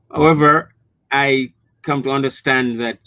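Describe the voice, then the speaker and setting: A man with a Jamaican accent, at a fairly slow pace and with fairly even intonation. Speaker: new beekeeper. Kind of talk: interview.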